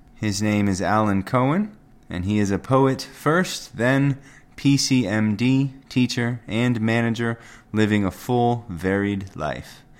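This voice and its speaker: Delivered at a fairly slow pace, a plain, everyday voice carries ordinary pitch variation. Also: man. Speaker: podcast host. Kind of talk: host narration, introducing readings.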